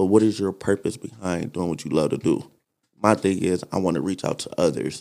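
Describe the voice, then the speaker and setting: A man with an American accent and a very deep, low voice talks at a fairly quick pace, with vocal fry and ordinary pitch variation. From Detroit, Michigan. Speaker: actor and musician. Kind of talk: casual interview chat. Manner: animated.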